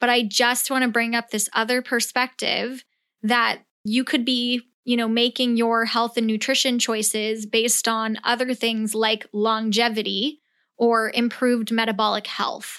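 In an American accent, the speaker uses a bright, sharp tone, monotone and flat, at a fairly slow pace with very even loudness. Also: woman, fairly high pitch for a woman. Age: 20s. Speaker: podcast host and blogger. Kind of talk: casual solo rant. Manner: unscripted, rambling.

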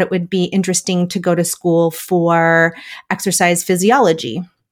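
A woman speaks with an American accent at a medium pitch and a moderate pace. She has an unremarkable speaking voice. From US Midwest, Wisconsin. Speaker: dietitian and mindset coach. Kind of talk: interview.

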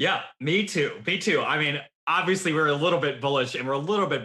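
Using a plain, everyday voice, a man speaks fairly quickly with ordinary pitch variation. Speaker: podcast host. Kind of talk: casual chat.

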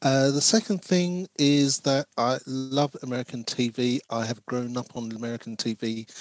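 Speaking in a London accent, a man at medium pitch keeps a fairly slow pace with hardly any pauses, recorded with a dry, close sound and no echo. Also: ordinary pitch variation. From South London, England. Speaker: screenwriter and diversity consultant. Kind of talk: interview.

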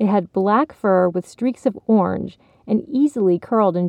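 The pitch shifts a normal amount in this natural reading voice.

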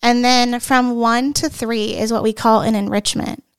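A woman with an American accent has an unremarkable speaking voice. Her pitch is fairly high and her pace moderate. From Ohio, US Midwest. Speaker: kindergarten teacher. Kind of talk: casual interview.

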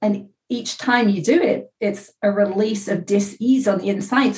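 At a moderate pace, a woman speaks at medium pitch in a somewhat breathy voice. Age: 50s. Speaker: author. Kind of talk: interview.

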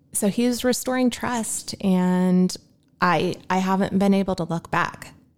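A woman's plain, everyday voice at medium pitch with ordinary pitch variation and a fairly slow pace, on a very clean recording with a silent background. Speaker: guest sharing faith testimony. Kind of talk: testimony. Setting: podcast interview.

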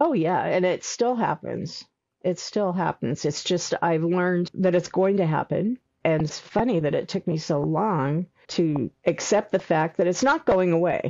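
In an ordinary speaking voice, the words come at a fairly slow pace with ordinary pitch variation and very even loudness. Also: woman, fairly low pitch for a woman. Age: 60s. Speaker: memoir author. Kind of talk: interview about personal life.

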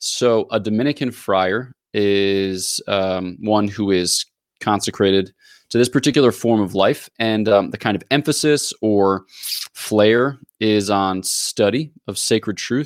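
Speaking at a fairly slow pace, a man with an American accent has a plain, everyday voice, a fairly low pitch and ordinary pitch variation, on a very clean recording with a silent background. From US, Philadelphia area. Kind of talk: explanatory theological interview.

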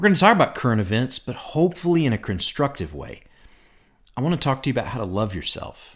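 The voice races at a very fast pace, with very wide pitch swings, big swings in loudness and vocal fry. It is a very clean recording with a silent background. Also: man, medium pitch for a man. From Kentucky (Bowling Green). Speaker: pastor and podcast host. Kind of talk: solo podcast monologue. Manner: casual, conversational.

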